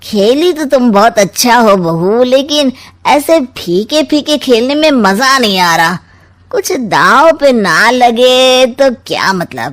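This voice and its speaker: A woman's cartoonish character voice, high-pitched, with lively intonation and a fairly slow pace. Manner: sly, taunting.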